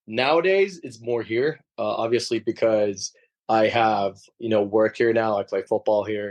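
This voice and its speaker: A plain, everyday voice speaks at a moderate pace with an American accent. The sound is dry and close with no echo, over a quiet background. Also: man. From Sweden (Gothenburg) and Liverpool, England. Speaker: professional footballer. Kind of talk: interview.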